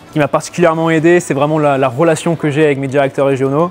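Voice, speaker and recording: Against music in the background, a man with a fairly high pitch talks at a very fast pace in a monotone, flat intonation. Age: 20s. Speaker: store manager. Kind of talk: interview testimony.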